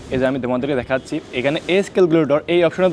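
Over noticeable background noise, a man talks in a fairly high voice with ordinary pitch variation. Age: 20s. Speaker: YouTuber giving defence recruitment guidance. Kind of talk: tutorial. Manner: casual.

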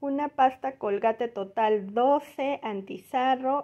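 Over a quiet background, a woman speaks at a very slow pace with ordinary pitch variation. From Mexico. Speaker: YouTuber, mother; home vlogger. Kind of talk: shopping haul vlog. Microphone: phone near.

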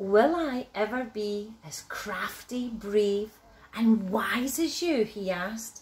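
What's heard is plain reading aloud.

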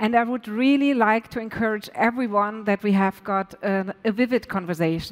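Against a quiet background, a woman speaks with ordinary pitch variation. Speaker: panel host. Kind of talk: panel introduction. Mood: warm, slightly nervous. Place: stage. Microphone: headset.

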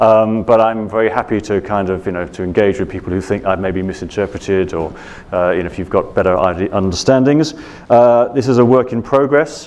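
A man with a British accent speaks at fairly low pitch with ordinary pitch variation. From Britain. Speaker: journalist and author on the South China Sea; speaker. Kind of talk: Q&A answers; lecture. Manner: hesitant, many fillers. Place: hall. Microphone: lapel.

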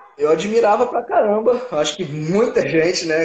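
With a quiet background and audible room echo, the speaker moves at a fairly slow pace with very wide pitch swings. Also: man. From Minas Gerais interior, Brazil. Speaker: MMA fighter; interviewee. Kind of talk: casual interview. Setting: online live stream. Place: home room. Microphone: video call.

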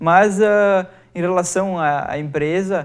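Against a quiet background, a man speaks. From southern Brazil, Encantado (Rio Grande do Sul); Rio Grande do Sul, Brazil. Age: 20s. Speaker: company finance director and business student; guest. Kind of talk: TV interview. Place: studio. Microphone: lapel.

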